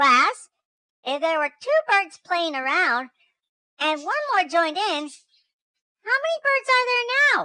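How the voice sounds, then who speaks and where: A woman speaks in a put-on character voice, squeaky and pitched extremely high, with very wide swings in pitch. Her pace is fairly slow, broken by long, frequent pauses. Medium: read story.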